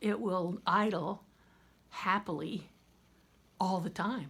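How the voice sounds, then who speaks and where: A woman talks with an American accent. Her medium-pitched voice carries vocal fry. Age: 60s. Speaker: vlogger. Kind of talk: casual chat.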